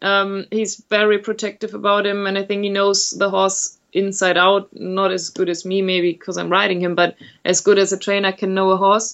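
With a German accent, a woman speaks at medium pitch and a moderate pace. Her intonation is monotone and flat. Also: hardly any pauses. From Germany. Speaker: event rider. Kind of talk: interview. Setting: remote call. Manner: hesitant.

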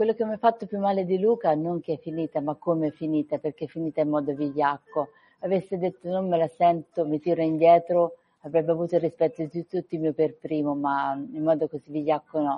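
A woman's fairly low-pitched, a plain, everyday voice with ordinary pitch variation. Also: fairly quick pace. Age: 40s. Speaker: author of a memoir about surviving an accident. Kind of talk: radio interview.

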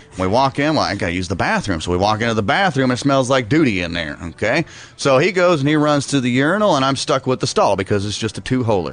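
Noticeable background noise sits under a man with an American accent. He talks very fast, with very wide pitch swings. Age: 30s. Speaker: radio show co-host. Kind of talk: casual radio banter. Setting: radio studio.

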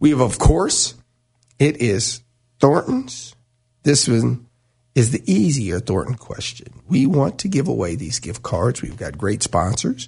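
A man speaks at a fairly slow pace with vocal fry. His pitch sits in the medium range and swings very widely. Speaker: radio host. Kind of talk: live sports talk radio banter, bright and chatty. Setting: radio studio.

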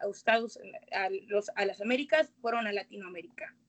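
A woman speaks in a fairly high voice. Her pitch moves in an ordinary way. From Guadalajara, Jalisco, Mexico. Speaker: guest speaker on Afro-Mexican identity. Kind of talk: casual chat.

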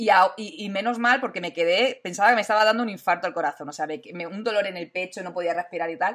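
Hardly pausing, a woman races along at a very fast pace with big swings in loudness. Her medium pitch shows ordinary pitch variation. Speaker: tech youtuber and streamer. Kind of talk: casual live-stream interview. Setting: live stream. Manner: animated, loud at times.

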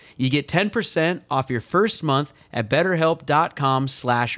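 A man with an ordinary speaking voice and an American accent, fairly slow with lively intonation, in a very clean, dry, close recording with no echo and a silent background. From California. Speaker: podcast co-host. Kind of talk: casual banter between co-hosts. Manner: jokey, rambling, laughs often.

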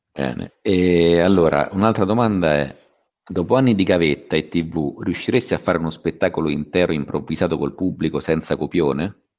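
This man's voice is very deep and low, with ordinary pitch variation. He speaks at a fairly quick pace. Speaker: comedian co-host. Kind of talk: casual chat. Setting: video call.

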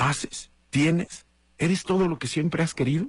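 Moving at a moderate pace, the speech keeps an animated tone. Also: man. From Mexico, Guadalajara, Jalisco. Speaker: radio host. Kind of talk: casual morning show monologue.

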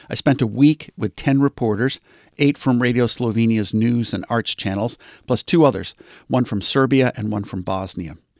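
In a normal speaking voice, a man with an American accent talks at a fairly quick pace, medium in pitch with ordinary pitch variation, on a very clean recording with a silent background. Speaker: podcast host and audio teacher. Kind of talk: scripted narration.

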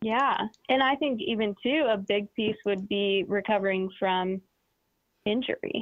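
In a normal speaking voice, a woman talks at a fairly slow pace and fairly high pitch, with ordinary pitch variation and very even loudness. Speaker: caller, athlete and university athletics staff. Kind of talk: radio call-in. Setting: phone call.

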